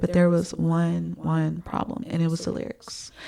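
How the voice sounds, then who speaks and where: A woman with a fairly low pitch speaks at a fairly slow pace over noticeable background noise. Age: 30s. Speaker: music YouTuber and singer. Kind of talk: casual commentary vlog. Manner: hesitant, many fillers.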